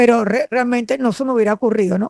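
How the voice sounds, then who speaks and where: High pitch from a woman, varying in an ordinary way. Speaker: former radio announcer, lawyer. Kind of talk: interview reminiscence. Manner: clear diction.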